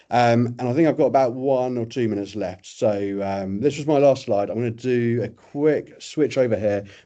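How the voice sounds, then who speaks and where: A man talks with hardly any pauses, his dark, mellow tone sitting at a medium pitch. His pitch varies in an ordinary way. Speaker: software vendor presenter. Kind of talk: webinar product demo. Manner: fast.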